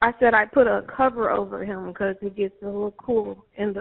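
A woman speaks at a moderate pace. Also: quiet background. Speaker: caller. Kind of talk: emergency call answers. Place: home room. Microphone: phone line.

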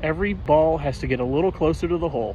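There is light background noise as a man speaks at a fairly quick pace with ordinary pitch variation, in a dry sound with no echo. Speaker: golf vlogger. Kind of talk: casual vlog chat. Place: open country. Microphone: phone near.

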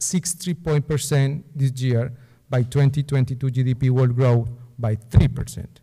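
Dark, mellow, somewhat breathy male voice against a quiet background. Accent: Spanish. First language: Spanish. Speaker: political analyst. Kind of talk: lecture. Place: hall. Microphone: podium.

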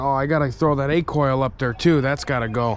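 At a moderate pace and with fairly even intonation, a man speaks in a dry sound with no echo over light background noise. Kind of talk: casual vlog chat. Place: open country. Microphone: phone near.

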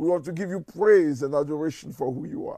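The tone is dark and mellow, with ordinary pitch variation. The sound is dry with no echo, over a quiet background. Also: man. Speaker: church minister. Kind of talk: prayer meeting address and prayer. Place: home room.

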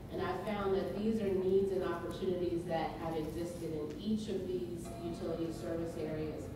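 Amid strong room echo and noticeable background noise, a woman with a fairly low pitch speaks at a fairly quick pace. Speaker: panelist. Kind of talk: panel presentation. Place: hall.

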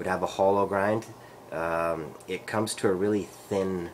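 Light background noise sits behind a man's very deep, low voice. His intonation is fairly even. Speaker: knife reviewer. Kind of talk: casual product review. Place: kitchen. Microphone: webcam.

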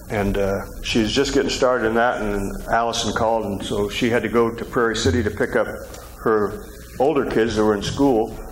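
A man with a fairly low pitch at a moderate pace, with fairly even intonation, few pauses, and faint background noise

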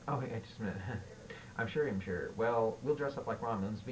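This is plain reading aloud. Nothing more is heard in it.

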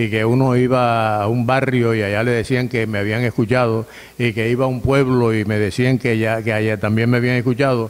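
A man at a fairly quick pace, very even in loudness, with monotone, flat intonation. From La Guajira, Colombia. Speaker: radio announcer. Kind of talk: interview answer. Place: office. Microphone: studio mic.

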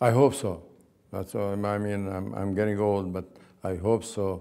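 Over a quiet background, a man speaks at a fairly slow pace in a fairly low pitch, his tone dark and mellow. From Palestine. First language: Arabic. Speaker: oral history interviewee; interviewee. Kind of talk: oral history interview. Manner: halting. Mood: reflective, earnest. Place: home room. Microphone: lapel.

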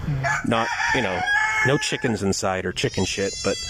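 A man in a dry sound with no echo, amid noticeable background noise. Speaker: expat vlogger filming. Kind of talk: casual vlog chat. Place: farm machine. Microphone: phone near.

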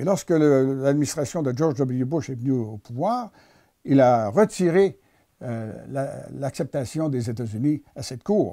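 Over a quiet background, a man of medium pitch speaks in a dark, mellow tone. He goes very slowly, with lively intonation. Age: 70s. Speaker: economist and author. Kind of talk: interview. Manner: halting, formal. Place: home room. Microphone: lapel.

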